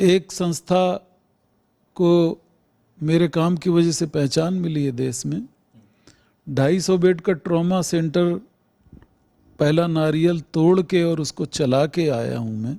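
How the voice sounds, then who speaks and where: With a dark, mellow tone and a high pitch, a man speaks with ordinary pitch variation and long, frequent pauses. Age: 60s. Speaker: hospital director, doctor. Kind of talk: news interview. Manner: formal.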